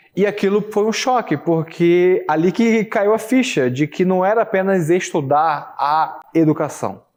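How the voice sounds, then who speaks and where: With lively intonation, a man talks in a high pitch. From Brazil, São Gonçalo (Rio de Janeiro state). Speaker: filmmaker, teacher and photographer. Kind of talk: TV interview. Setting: TV studio. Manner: halting, with repetitions and fillers.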